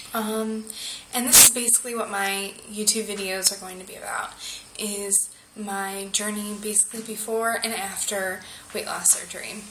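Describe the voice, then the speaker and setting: Over noticeable background noise and audible room echo, a woman with an American accent speaks at a medium pitch and a moderate pace in a flat, monotone delivery. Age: 20s. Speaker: vlogger. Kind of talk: video diary. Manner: halting, many fillers.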